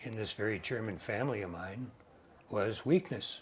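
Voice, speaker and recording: A somewhat breathy man with an American accent talks at a moderate pace and a fairly low pitch. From Chicago, US Midwest. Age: 80s+. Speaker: retired counselor and recovery advocate. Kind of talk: interview testimony.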